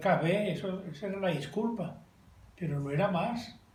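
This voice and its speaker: A high-pitched man at a moderate pace, with audible room echo. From Colombia, coffee region (Belalcázar, Caldas). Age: 70s. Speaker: interviewee recalling childhood. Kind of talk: casual family interview.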